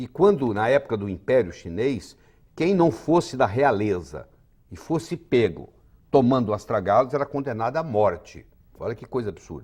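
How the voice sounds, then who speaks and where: A man's medium-pitched voice with vocal fry, very wide pitch swings, and a moderate pace. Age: 60s. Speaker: physician. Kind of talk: interview.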